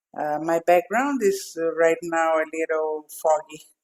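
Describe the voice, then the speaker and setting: Delivered at a fairly slow pace with ordinary pitch variation, the voice has a dry, close sound with no echo. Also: woman. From Brazil. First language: Portuguese. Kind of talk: podcast interview. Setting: video call.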